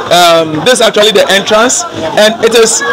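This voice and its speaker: Crowd noise fills the background as a man speaks at a fairly quick pace. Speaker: vlogger. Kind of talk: casual vlog chat. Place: street. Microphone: phone near.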